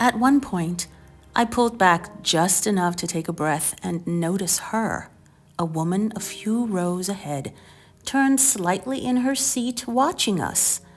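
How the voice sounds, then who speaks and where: Music plays in the background as a woman speaks at a medium pitch and a fairly slow pace with lively intonation. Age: middle-aged. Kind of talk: personal storytelling narration.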